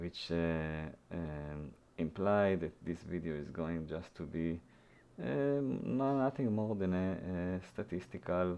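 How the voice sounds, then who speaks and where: Very slow, very deep speech from a man with an Israeli accent, a dark, mellow tone and lively intonation. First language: Hebrew. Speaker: programming YouTuber. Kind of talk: tutorial. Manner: halting, many fillers.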